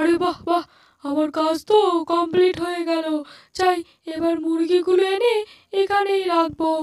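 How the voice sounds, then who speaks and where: In a cartoonish character voice, the speaker hits an extremely high pitch at a moderate pace. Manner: gleeful, muttering to himself.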